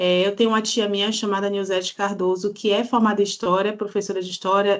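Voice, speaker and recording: Against a quiet background, a woman with an unremarkable speaking voice talks at a moderate pace, medium pitch, and fairly even intonation. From Brazil, Salvador, Bahia. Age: 40s. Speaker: historian and poet. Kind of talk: podcast interview.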